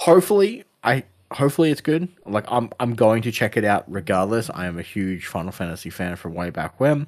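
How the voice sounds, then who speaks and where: With hardly any pauses, a man at medium pitch swings very widely in pitch, recorded very cleanly with a silent background. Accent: Australian. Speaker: gaming podcast co-host. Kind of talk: casual chat.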